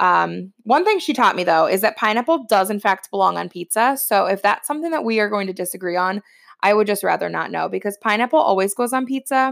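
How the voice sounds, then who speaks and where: This woman talks very fast, with hardly any pauses, in a Midwestern American accent. Her medium pitch carries lively intonation over a very clean recording with a silent background. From Ohio, US Midwest. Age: 30s. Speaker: podcast host, entrepreneur. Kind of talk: personal storytelling monologue. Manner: casual with frequent fillers.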